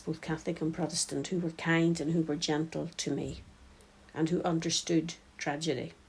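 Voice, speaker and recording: Speaking with a Northern Irish accent, a woman has a very deep, low voice that is somewhat breathy. Her delivery is monotone and flat, at a moderate pace. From County Tyrone, Northern Ireland. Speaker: peace and reconciliation worker. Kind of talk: personal reflection.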